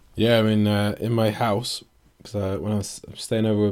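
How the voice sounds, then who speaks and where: On a very clean recording with a silent background, a man with an English accent talks at a fairly quick pace in a fairly low, dark, mellow voice. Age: 20s. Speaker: fitness coach and podcast co-host. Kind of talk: casual chat.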